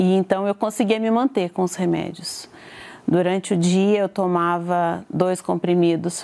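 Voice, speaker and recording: A woman's normal speaking voice at a medium pitch, fairly slow in pace and fairly even in intonation. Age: 40s. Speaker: churchgoer giving testimony. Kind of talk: testimony.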